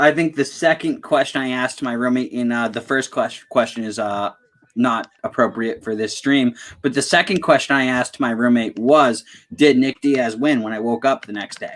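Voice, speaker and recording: At a moderate pace, a man talks in a normal speaking voice, medium in pitch with ordinary pitch variation. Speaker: sports podcast host. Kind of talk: casual live-stream chat. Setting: live stream.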